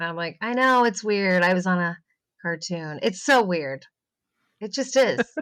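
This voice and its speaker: The speech moves at a fairly slow pace with long, frequent pauses. Its intonation is lively. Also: woman, medium pitch for a woman. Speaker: voice actress and therapist. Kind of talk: casual chat. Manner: animated.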